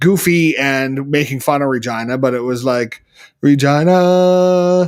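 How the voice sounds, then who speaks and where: Someone with a Canadian Prairie accent talks at a fairly slow pace. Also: man, fairly high pitch for a man, ordinary pitch variation. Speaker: live show co-host. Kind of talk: casual chat. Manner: louder than co-host.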